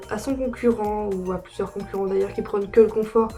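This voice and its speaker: Music plays in the background. A woman speaks at a medium pitch with flat, monotone intonation. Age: young. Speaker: horse rider, brand ambassador. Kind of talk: casual product review to camera.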